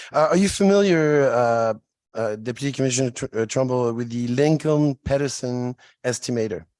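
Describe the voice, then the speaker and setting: A man with a French accent, talking at a moderate pace. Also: medium pitch for a man, ordinary pitch variation. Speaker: state legislator. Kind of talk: legislative hearing questioning. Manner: halting.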